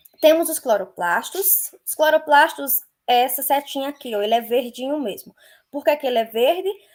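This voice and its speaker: Intonation here is lively. The pace is moderate. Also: woman, high pitch for a woman. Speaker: biology teacher. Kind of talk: lecture.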